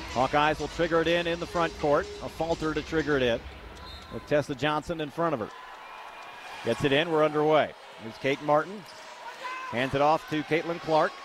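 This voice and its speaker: Over noticeable background noise, a man talks at a fairly high pitch. His pace is fairly quick, yet he leaves long, frequent pauses. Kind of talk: live radio sports commentary. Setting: radio broadcast from the arena. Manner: fast, fluent play-by-play, upbeat and steady.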